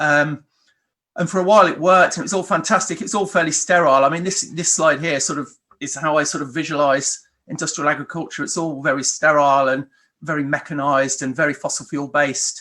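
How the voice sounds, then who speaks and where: A man's fairly high voice at a very fast pace, ordinary pitch variation, quiet background. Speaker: farm manager. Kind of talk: lecture. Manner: hesitant, many ums.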